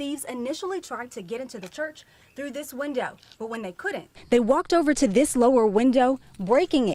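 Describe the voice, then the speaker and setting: Noticeable background noise is present throughout. Over it, a woman talks fairly quickly. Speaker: TV news reporter. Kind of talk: broadcast news report.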